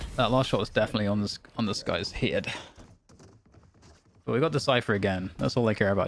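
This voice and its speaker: In a British accent, a man speaks with a fairly low pitch and ordinary pitch variation. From UK. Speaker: gaming streamer. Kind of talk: casual gaming stream chat.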